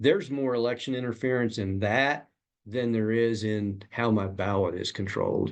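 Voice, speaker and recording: Against a quiet background, a man with a plain, everyday voice talks at a moderate pace with medium pitch and lively intonation. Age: 60s. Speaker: congressional candidate. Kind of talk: interview.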